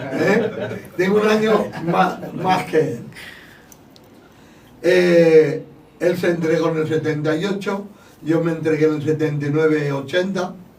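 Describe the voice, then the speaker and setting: The speech is very slow, with long, frequent pauses and ordinary pitch variation. Room echo and noticeable background noise can be heard. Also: man, fairly high pitch for a man. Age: 60s. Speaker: church podcast host. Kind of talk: casual chat. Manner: raising voice.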